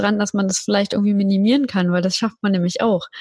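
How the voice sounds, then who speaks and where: A woman speaks in a medium-pitched voice that is somewhat breathy. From Berlin, Germany. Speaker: podcast agency founder. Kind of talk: casual interview chat.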